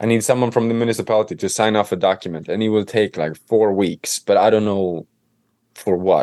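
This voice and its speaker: In a Swedish accent, a man talks at a fairly quick pace with a fairly low pitch, fairly even intonation and a dark, mellow tone, the sound dry and close with no echo. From Sweden, Stockholm. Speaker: home renovator and author. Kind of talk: interview.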